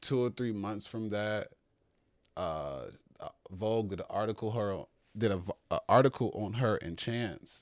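A man's fairly low voice at a fairly slow pace, with ordinary pitch variation, long, frequent pauses, and a very clean recording with a silent background. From Chicago, South Side. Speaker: stylist and model. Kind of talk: casual chat.

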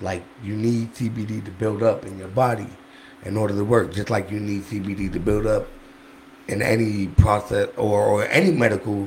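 A man uses a normal speaking voice at a fairly low pitch and a moderate pace. His intonation is fairly even, with big swings in loudness. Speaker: medical cannabis dispensary liaison. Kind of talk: casual chat. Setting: podcast studio.

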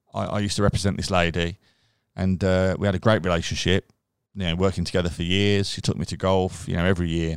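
Over a silent background in a very clean recording, a man speaks very fast in a very deep, low pitch. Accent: Birmingham. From Birmingham, England (Castle Bromwich / Chelmsley Wood). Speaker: digital marketing agency director and charity co-founder. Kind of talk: casual interview chat. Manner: animated, enthusiastic.

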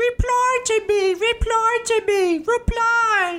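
A whiny, put-on character voice with an Australian accent speaks at a very slow pace and extremely high pitch. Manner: whining.

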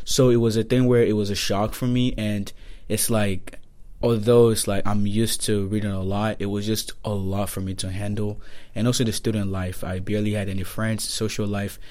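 A man with a Nigerian accent, fairly low-pitched, with a dark, mellow tone and monotone, flat intonation. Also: moderate pace. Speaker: university student. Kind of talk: casual chat.

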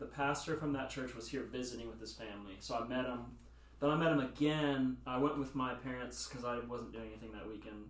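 A man with an American accent at a very fast pace, big swings in loudness, audible room echo and noticeable background noise. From US South (Nashville). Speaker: church intern. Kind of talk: casual chat.

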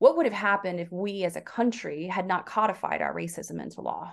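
A normal speaking voice from a woman with an American accent, medium in pitch, at a moderate pace against a quiet background. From US South. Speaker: author. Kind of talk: interview.

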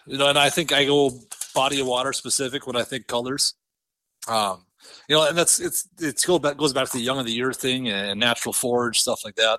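A man in an Upper Midwest accent, medium in pitch, with a bright, sharp tone and a fairly quick pace, in a very clean recording against a silent background. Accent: Upper Midwest American. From central North Dakota. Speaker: custom lure painter and angler. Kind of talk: casual interview chat.

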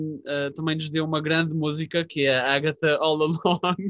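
With a fairly high pitch and a fairly slow pace, a man has an unremarkable speaking voice, heard as a dry, close sound with no echo. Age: 20s. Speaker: podcast co-host. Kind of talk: casual chat.

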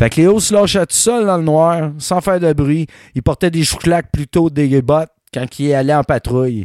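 In a very clean recording with a silent background and a dry, close sound with no echo, a man with a Quebec accent speaks in an animated tone with lively intonation. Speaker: history podcast host. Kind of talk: storytelling, casual chat.

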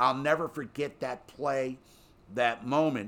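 A man with a plain, everyday voice speaks at a fairly slow pace. His pitch is fairly high, with ordinary pitch variation. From Baltimore, Maryland. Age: 50s. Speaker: sports radio host. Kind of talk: casual sports talk.

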